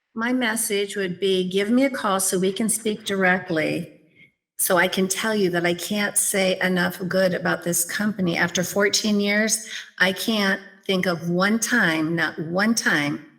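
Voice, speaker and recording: A woman with an ordinary speaking voice, medium in pitch, at a fairly slow pace, with fairly even intonation and very even loudness. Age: 60s. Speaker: executive assistant. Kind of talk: interview.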